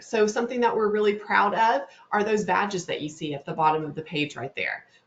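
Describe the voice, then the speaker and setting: In a Southern US accent, a woman speaks at a medium pitch with lively intonation. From North Louisiana. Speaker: webinar host, digital marketing specialist. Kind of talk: webinar presentation. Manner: fast.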